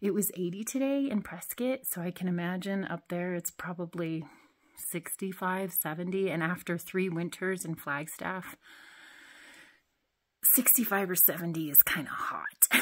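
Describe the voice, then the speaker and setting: Over a quiet background, a woman speaks at a moderate pace. Her pitch varies in an ordinary way. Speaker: parent vlogger. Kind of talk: casual vlog chat. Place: tunnel cave. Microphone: phone near.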